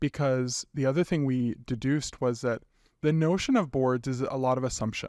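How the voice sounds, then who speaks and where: In a very clean recording with a silent background, a man uses an ordinary speaking voice at a medium pitch with fairly even intonation. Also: moderate pace. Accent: Canadian. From western Canada (British Columbia). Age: 30s. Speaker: nonprofit executive director. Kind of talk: interview.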